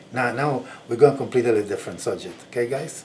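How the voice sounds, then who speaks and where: A man speaks at a medium pitch over noticeable background noise. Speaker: video blogger. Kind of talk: personal reflection monologue. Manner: slow; halting.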